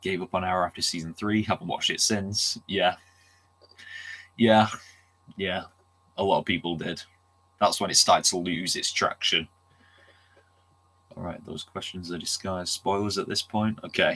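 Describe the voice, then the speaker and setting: Long, frequent pauses at a moderate pace, with a bright, sharp tone and monotone, flat intonation. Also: man, fairly low pitch for a man. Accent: Manchester. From Manchester, England. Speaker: streamer. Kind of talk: casual chat. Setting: livestream.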